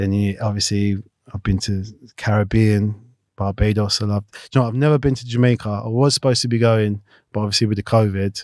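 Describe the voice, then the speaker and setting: A man with a South London accent, fairly low in pitch, dry with no echo over a quiet background. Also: fairly even intonation, fairly quick pace. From South London (Clapham/Battersea). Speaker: retired footballer; guest. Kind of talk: casual interview. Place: studio. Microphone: studio mic.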